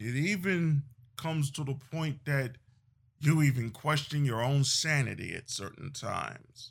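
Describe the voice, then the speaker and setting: At a fairly slow pace, a man speaks with a fairly high pitch. His voice is somewhat breathy, with ordinary pitch variation. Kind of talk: eulogy tribute speech, solemn and reflective. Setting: solo voice recording. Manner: solemn, slow and heavy with grief; earnest, formal, preacher-like cadence with repetition.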